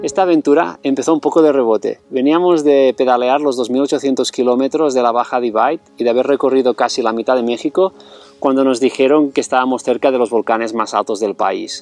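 Speaking at a fairly quick pace with hardly any pauses, a man keeps his loudness very even and his pitch variation ordinary. The sound is dry with no echo, and faint music plays behind him. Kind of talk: travel documentary narration to camera. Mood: calm, friendly. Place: open country.

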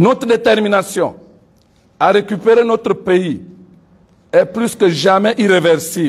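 A man speaks in a high voice at a very slow pace. His speech is broken by long, frequent pauses. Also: ordinary pitch variation. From Gabon. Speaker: civil society leader and pastor; civil society spokesman. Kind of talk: press conference statement. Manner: formal. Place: meeting room.

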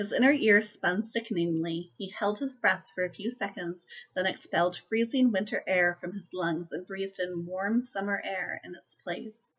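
A woman's enthusiastic, medium-pitched voice at a moderate pace, with big swings in loudness, ordinary pitch variation, hardly any pauses and a quiet background. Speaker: book reviewer vlogger. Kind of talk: audiobook-style reading aloud of novel passages, in a steady narrator's cadence; casual book review to camera. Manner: measured, descriptive narration with even pacing, a storyteller's tone; chatty, enthusiastic, with filler words and laughs. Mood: calm storytelling tone. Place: home room. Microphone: webcam.

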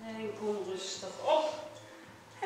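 Raised and projected, the voice swings very widely in pitch over light background noise and strong room echo. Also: woman. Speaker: fitness instructor. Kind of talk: exercise instruction. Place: gym. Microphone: camera far.

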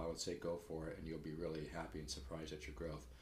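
Talking at a very fast pace, a man with a very deep, low pitch and vocal fry is heard with audible room echo. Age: 60s. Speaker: guitar teacher. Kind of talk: sales pitch. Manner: casual, halting. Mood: earnest, mildly salesy. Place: home room. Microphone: webcam.

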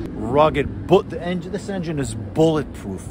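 A man speaks at a moderate pace, his voice dry with no echo, while noticeable background noise continues behind him. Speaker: motorcycle vlogger. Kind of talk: casual vlog chat. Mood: enthusiastic, nostalgic. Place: street. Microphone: phone near.

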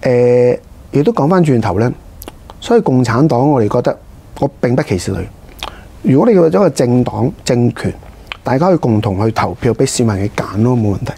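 With long, frequent pauses, a man speaks at a moderate pace. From Hong Kong. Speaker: district councillor, politician; district council vice-chairman, interview guest. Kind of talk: interview. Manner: halting, many fillers. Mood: calm, earnest political talk. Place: studio. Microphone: lapel.

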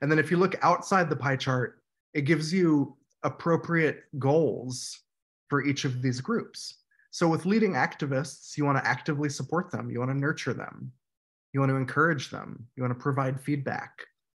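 With a somewhat breathy quality, a man speaks at a moderate speed and ordinary pitch variation. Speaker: workshop trainer. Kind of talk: lecture. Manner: halting.

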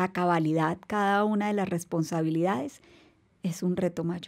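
A woman's voice with ordinary pitch variation, over a quiet background. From Colombia. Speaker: navy rear admiral; podcast guest. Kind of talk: interview. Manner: formal. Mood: warm, composed, reflective. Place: studio. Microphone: studio mic.

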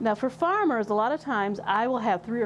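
A woman with an American accent at a moderate pace, ordinary pitch variation, and noticeable background noise. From western Michigan. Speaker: extension educator in soil health; extension educator. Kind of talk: tutorial. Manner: halting, with repeated words and fillers. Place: workshop. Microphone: lapel.

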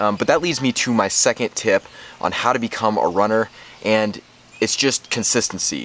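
A man's unremarkable speaking voice, fairly low in pitch with ordinary pitch variation, in a dry recording with no echo. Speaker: running vlogger. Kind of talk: casual vlog chat. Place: garden. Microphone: phone near.

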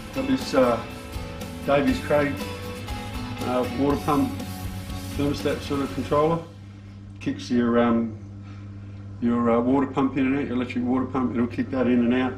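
The delivery moves at a moderate pace with ordinary pitch variation and long, frequent pauses. Faint music sits in the background. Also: man. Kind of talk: casual vlog chat. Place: garage.

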